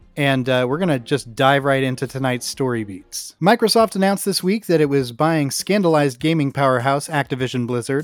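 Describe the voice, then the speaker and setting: A man with an ordinary speaking voice and a fairly high pitch talks fairly quickly with lively intonation and hardly any pauses, in a very clean recording with a silent background. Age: 40s. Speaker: comedy podcast host. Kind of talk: comedic news reading.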